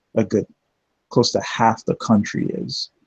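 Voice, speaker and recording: The sound is dry and close, with no echo. A man speaks in a dark, mellow tone. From Jamaica. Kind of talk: casual chat.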